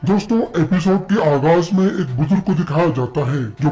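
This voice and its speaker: A man's fairly high-pitched voice over clear background noise. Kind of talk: informal episode recap storytelling. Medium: read story. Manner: friendly, conversational.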